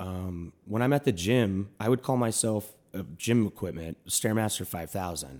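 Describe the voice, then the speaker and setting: With an American accent and a normal speaking voice, the speaker keeps a moderate pace, ordinary pitch variation and hardly any pauses on a very clean recording with a silent background. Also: man, fairly low pitch for a man. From US Midwest (Milwaukee). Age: 30s. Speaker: comedian. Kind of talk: casual chat.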